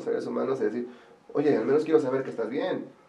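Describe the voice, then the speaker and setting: Over noticeable background noise and audible room echo, a man speaks with a Mexican accent. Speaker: wedding planner. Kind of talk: casual interview chat. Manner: fast.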